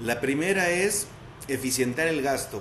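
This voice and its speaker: A man keeps a moderate pace and ordinary pitch variation amid audible room echo and noticeable background noise. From Mexico, León, Guanajuato. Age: 30s. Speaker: municipal legal official. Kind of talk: interview. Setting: video call.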